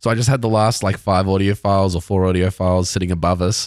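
In a very clean recording with a silent background, a man with a very deep, low voice and an Australian accent speaks very fast in a monotone, flat delivery. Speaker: podcast co-host. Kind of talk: casual chat.

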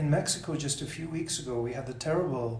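A man talks at a fairly quick pace with fairly even intonation. There is audible room echo and noticeable background noise. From South Africa, then Toronto from teens. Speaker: senior government official. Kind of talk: interview. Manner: halting, many repeated words.

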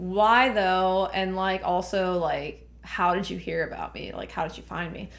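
Speaking fairly slowly with an American accent, the voice keeps a fairly even intonation while room echo is audible. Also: woman, medium pitch for a woman. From Laredo, Texas. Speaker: podcast host. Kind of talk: casual chat.

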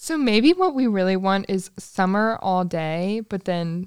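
Speaking at a fairly slow pace, a woman with an ordinary speaking voice uses lively intonation. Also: dry, close sound with no echo. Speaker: host's best friend and assistant. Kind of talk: casual chat. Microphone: sharing one microphone, faces close.

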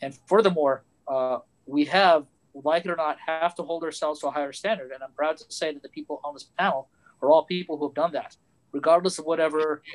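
The speech comes at a very fast pace with big swings in loudness and fairly even intonation, recorded with a dry, close sound and no echo. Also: man. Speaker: pilot and aerospace engineer. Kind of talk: panel discussion. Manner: self-deprecating.

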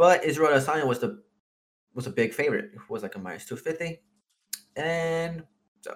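Here is a man with a fairly high pitch. His intonation is lively. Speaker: podcast co-host. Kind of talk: casual chat.

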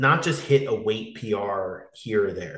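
A man is speaking. His voice is somewhat breathy. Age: 30s. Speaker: fitness coach and podcast host. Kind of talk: casual interview conversation.

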